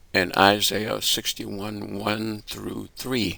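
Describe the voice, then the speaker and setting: A man's fairly low-pitched voice with vocal fry and a bright, sharp tone. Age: 80s+. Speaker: writer, poet, activist. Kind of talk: self-made political address to camera.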